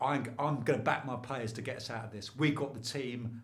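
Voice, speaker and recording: Over audible room echo, a man with a medium pitch and a somewhat breathy voice speaks at a fairly quick pace with ordinary pitch variation. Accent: southern English. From London. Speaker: former sports reporter, lecturer. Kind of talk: podcast interview. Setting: studio. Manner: animated.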